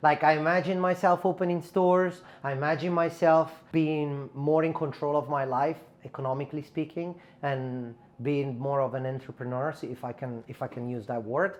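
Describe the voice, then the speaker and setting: The speaker has an Italian accent and a moderate pace. The intonation is lively. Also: man. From Italy, Milan. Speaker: barber and educator. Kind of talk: casual chat.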